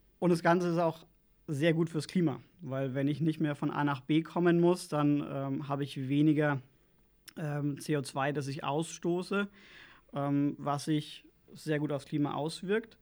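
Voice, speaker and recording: A man with a normal speaking voice, fairly slow in pace and fairly even in intonation, on a very clean recording with a silent background. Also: fairly high pitch for a man. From Lower Franconia, Bavaria (Schweinfurt). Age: 30s. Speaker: local political candidate. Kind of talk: interview.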